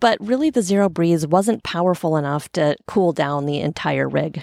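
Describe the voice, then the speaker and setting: A woman speaks at a fairly low pitch with a West Coast US accent. The sound is dry and close, with no echo. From US Pacific Northwest, Portland, Oregon. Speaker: podcast host. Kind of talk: solo podcast monologue. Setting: outdoors on a sailboat stern. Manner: casual, conversational.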